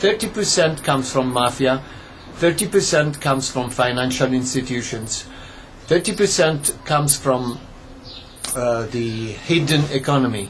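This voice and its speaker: Over noticeable background noise, a man at medium pitch speaks at a fairly slow pace with lively intonation. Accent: Italian. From Italy, Rome. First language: Italian. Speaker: commentator. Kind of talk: video monologue. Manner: halting.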